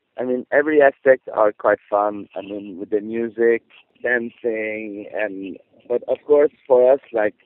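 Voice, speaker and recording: The speaker has a non-native accent and fairly even intonation. Delivery is at a fairly slow pace. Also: man, medium pitch for a man. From Quebec, rural (Saint-Alphonse-Rodriguez area). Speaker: circus performer. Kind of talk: interview. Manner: halting.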